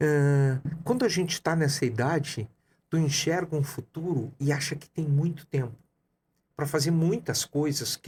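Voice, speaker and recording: A man with an ordinary speaking voice, fairly high-pitched, at a moderate pace with ordinary pitch variation. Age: 60s. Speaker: coach and entrepreneur. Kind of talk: podcast interview.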